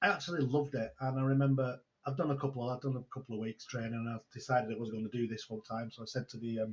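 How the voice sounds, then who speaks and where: A man talks very fast at a medium pitch with fairly even intonation. His voice is somewhat breathy. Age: 60s. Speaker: online entrepreneur and mentor. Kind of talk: interview storytelling. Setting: video call.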